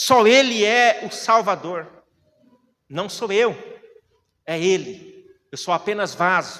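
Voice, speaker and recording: With a raised, projected voice, a man talks very slowly in a high, bright, sharp tone, using ordinary pitch variation and long, frequent pauses. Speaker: preacher. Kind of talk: sermon. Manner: animated.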